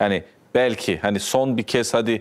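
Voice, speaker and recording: This is an unremarkable speaking voice from a man. His pitch is medium, with ordinary pitch variation. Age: 30s. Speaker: TV talk show host. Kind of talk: TV interview. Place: studio. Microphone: lapel.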